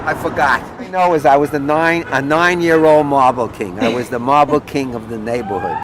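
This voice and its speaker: A man speaks in a New York accent at a fairly high pitch. He moves at a fairly quick pace with hardly any pauses and ordinary pitch variation. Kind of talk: interview answer.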